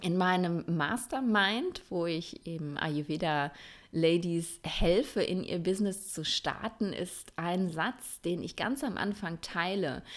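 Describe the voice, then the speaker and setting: Speaking at a very slow pace, a woman has a fairly low pitch with ordinary pitch variation. The recording is very clean, with a silent background. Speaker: Ayurveda coach and podcast host, former physician. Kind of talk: solo podcast monologue. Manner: casual, many filler sounds.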